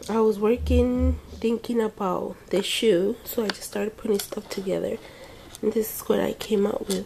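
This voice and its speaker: Noticeable background noise under a woman talking at a moderate speed. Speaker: craft vlogger. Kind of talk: casual video blog. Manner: hesitant fillers.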